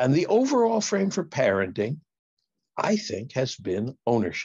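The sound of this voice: A man speaks with big pitch swings and a slightly mellow tone. His voice carries a slightly husky edge.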